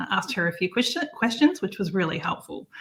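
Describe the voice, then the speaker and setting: A woman with an Australian accent talks very fast at a medium pitch. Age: 40s. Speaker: campsite manager and online marketer. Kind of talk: interview.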